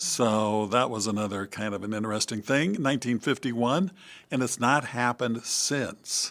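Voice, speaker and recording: A man speaks at a medium pitch with a Midwestern American accent, using ordinary pitch variation at a moderate pace. The recording is very clean, with a silent background. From US Midwest, Iowa (West Burlington). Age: 70s. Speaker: priest. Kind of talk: interview conversation. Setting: studio.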